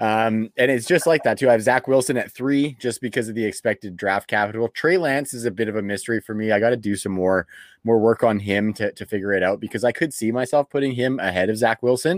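A man with a Canadian accent speaks at a very fast pace and a medium pitch. The recording is very clean, with a silent background and a dry, close sound with no echo. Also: ordinary pitch variation. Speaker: fantasy football podcast host. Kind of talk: casual chat. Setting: home studio.

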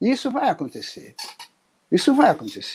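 Dry and close with no echo, a man's voice comes through with a dark, mellow tone. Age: 80s+. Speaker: retired army colonel. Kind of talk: interview. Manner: halting, frequent repetitions.

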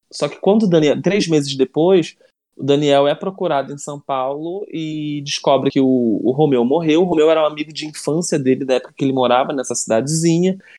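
Against a quiet background, a man with a dark, mellow tone and fairly high pitch talks at a fairly quick pace with hardly any pauses and ordinary pitch variation. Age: 30s. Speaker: writer and screenwriter. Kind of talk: casual interview.

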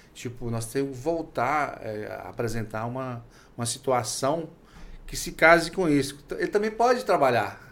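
This man has an unremarkable speaking voice, pitched fairly high, with lively intonation. He talks at a fairly slow pace, and his loudness swings widely. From Minas Gerais, Brazil. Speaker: podcast host, professor. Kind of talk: interview.

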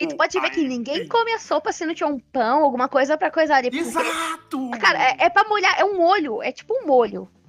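A woman's high voice at a very fast pace, with very wide pitch swings over noticeable background noise. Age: 20s. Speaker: podcast co-host. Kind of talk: casual chat.

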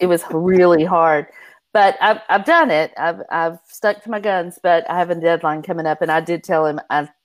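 The speaking pace is moderate. Music plays in the background. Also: woman. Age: 50s. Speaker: romance author. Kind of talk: casual chat.

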